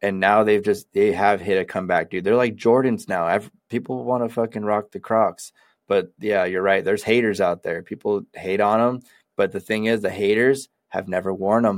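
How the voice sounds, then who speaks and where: A normal speaking voice at a moderate pace comes through on a very clean recording with a silent background and a dry, close sound with no echo. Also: man, fairly low pitch for a man, fairly even intonation. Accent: American. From Sacramento, California. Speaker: podcast co-host. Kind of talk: casual chat.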